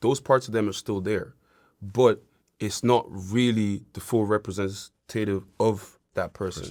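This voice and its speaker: In an Irish accent, a man speaks at a fairly slow pace with fairly low pitch and fairly even intonation on a very clean recording with a silent background. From Nigerian, raised in Ireland. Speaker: reality TV contestant. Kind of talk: interview answer. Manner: casual, conversational.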